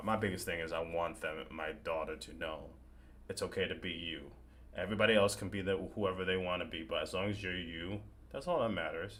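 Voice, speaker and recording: A man with a very deep, low voice talks at a fairly quick pace. Audible room echo surrounds the sound. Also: ordinary pitch variation. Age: 30s. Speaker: horror content creator and podcast host. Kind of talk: casual interview chat. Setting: live stream video call. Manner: stutters.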